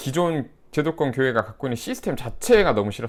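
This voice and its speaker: A man's unremarkable speaking voice at a fairly quick pace, lively intonation, very clean recording with a silent background. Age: 30s. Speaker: YouTuber and former pastor. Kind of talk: casual commentary monologue. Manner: conversational, mixed casual and polite speech.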